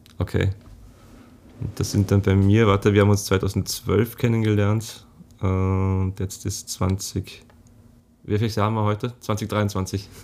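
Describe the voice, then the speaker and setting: Speaking very slowly, a man delivers his words in a flat monotone at a fairly low pitch. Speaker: podcast host, translator. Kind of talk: casual chat. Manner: halting.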